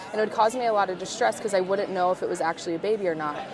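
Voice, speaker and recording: A woman with an American accent at a medium pitch and a very fast pace, with fairly even intonation, audible room echo and crowd noise in the background. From US West Coast (California desert). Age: 30s. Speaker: conference attendee sharing OCD story. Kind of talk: casual chat. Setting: booth at a conference.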